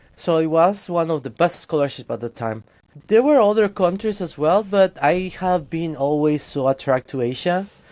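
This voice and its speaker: With a Spanish accent, a man speaks at a high pitch with lively intonation on a very clean recording with a silent background. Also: moderate pace. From Guatemala. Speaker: 3D character artist. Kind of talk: casual interview chat.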